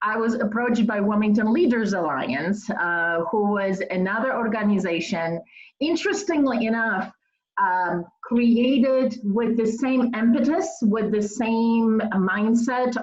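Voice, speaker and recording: A woman's somewhat breathy, fairly high voice with a Polish accent, very slow pace and ordinary pitch variation. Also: very even loudness. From Poland. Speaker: nonprofit executive. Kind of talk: interview.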